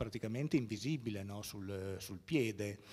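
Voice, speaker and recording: Lively intonation from a man against a quiet background. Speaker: art historian and museum curator; museum curator lecturer. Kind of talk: lecture. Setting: stage with audience. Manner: halting. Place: hall.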